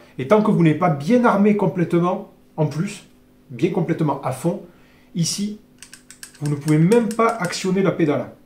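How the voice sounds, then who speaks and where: Noticeable background noise surrounds a man whose high-pitched voice shows ordinary pitch variation and long, frequent pauses. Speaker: airgun reviewer. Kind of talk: product review tutorial. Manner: fast; hesitant, many fillers.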